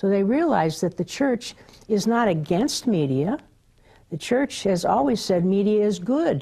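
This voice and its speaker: Against a quiet background, a woman speaks at a fairly slow pace with very wide pitch swings. Her tone is dark and mellow, and somewhat breathy. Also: medium pitch for a woman. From Southern California. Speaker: media educator. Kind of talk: interview. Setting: TV studio. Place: studio. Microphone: lapel.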